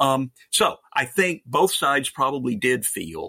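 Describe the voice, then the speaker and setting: The sound is dry and close with no echo as a man speaks at a medium pitch in a bright, sharp tone. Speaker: think tank executive. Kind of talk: casual panel discussion.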